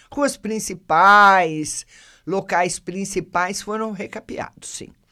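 The very slow speech comes through in a very clean recording with a silent background. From Brazil, São Carlos, São Paulo state. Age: 60s. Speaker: local news podcast host. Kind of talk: news reading with casual commentary. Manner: conversational, addresses listeners by name.

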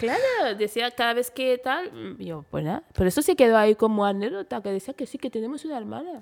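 A woman at a fairly high pitch rushes along at a very fast pace with hardly any pauses, her intonation lively and her loudness swinging widely. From Spain and Equatorial Guinea. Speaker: model. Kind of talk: interview.

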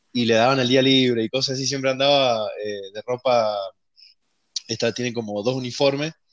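With fairly even intonation and a moderate pace, a man talks in an unremarkable speaking voice pitched in the medium range. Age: 20s. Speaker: programmer. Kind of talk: casual chat. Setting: remote recording from home.

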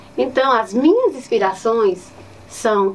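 At a very slow pace, a woman speaks in a fairly high pitch over noticeable background noise. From Ceará, Brazil (Nova Olinda, Cariri). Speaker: teacher. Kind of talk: interview.

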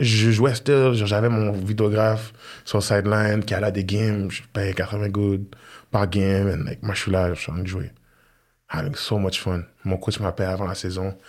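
At a moderate pace, a man with a fairly low pitch speaks with fairly even intonation. He leaves long, frequent pauses. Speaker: former football player and sports entrepreneur. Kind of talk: casual interview chat.

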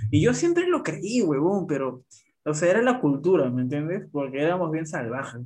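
A man with an unremarkable speaking voice talks at a moderate pace, his fairly high pitch carried by lively intonation. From Peru. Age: 20s. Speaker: podcast guest. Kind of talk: casual chat.

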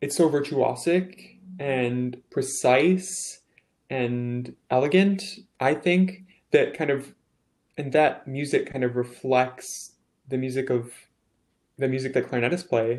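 The speaker talks at a very slow pace with long, frequent pauses, ordinary pitch variation, and an American accent. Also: man, medium pitch for a man. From US Midwest, southern Wisconsin. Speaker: baritone singer, music student. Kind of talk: casual interview.

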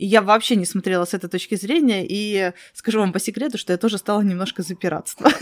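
The speech races at a very fast pace with ordinary pitch variation, recorded with a dry, close sound and no echo. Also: woman, medium pitch for a woman. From Crimea. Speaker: podcast host. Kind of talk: interview.

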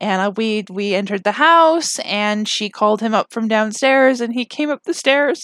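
Lively intonation and hardly any pauses mark a woman's fairly high voice at a moderate pace. The sound is dry and close, with no echo. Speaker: podcast host. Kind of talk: casual solo podcast chat. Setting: home recording, late at night. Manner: giggly, frequent laughter.

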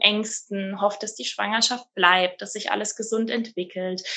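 A woman is speaking. Her pitch sits fairly high. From Rhineland-Palatinate, Germany. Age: 30s. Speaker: midwife. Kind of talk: interview conversation. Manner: frequent hesitation fillers.

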